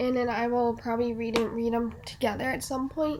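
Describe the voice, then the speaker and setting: The pace is moderate. A dark, mellow tone colors the voice. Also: woman. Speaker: book vlogger. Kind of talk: casual vlog talk to camera. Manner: halting, many fillers and restarts.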